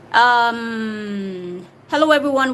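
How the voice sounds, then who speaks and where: Noticeable background noise sits behind a woman speaking in a high pitch with ordinary pitch variation. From Nigeria, Delta State. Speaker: YouTuber answering viewer questions. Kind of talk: live stream Q&A. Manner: casual, conversational.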